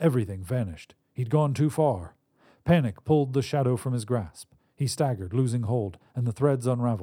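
Here someone is reading aloud in a natural voice, with ordinary pitch variation. The background is quiet.

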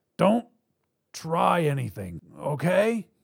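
Putting on a character voice, a man speaks slowly at a fairly high pitch with very wide pitch swings, vocal fry and a slightly husky edge, in a very clean recording with a silent background.

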